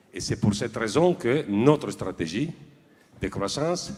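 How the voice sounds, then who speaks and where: A man with an Italian accent speaks with very wide pitch swings. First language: Italian (speaking French). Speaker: industrial director accepting an award. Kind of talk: acceptance speech. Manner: formal; hesitant, with fillers.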